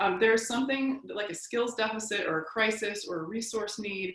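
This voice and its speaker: A woman talks at a fairly quick pace with ordinary pitch variation. Noticeable noise sits in the background. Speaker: trauma-informed practices presenter. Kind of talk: lecture. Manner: fast.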